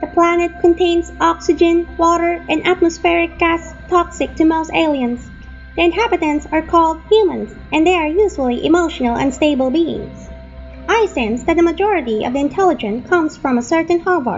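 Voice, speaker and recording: A put-on character voice at a high pitch, with clear music in the background. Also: moderate pace. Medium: audio drama. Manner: calm, precise.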